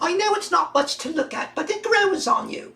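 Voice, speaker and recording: A woman puts on a character voice at an extremely high pitch with very wide pitch swings. Her pace is moderate. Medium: audio drama. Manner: polite, friendly.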